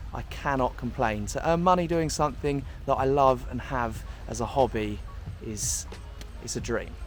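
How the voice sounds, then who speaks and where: Speaking in a southern English accent at a moderate pace, a man leaves long, frequent pauses while music plays behind him and room echo is audible. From southern England, near London. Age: 20s. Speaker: travel vlogger. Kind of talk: casual vlog Q&A.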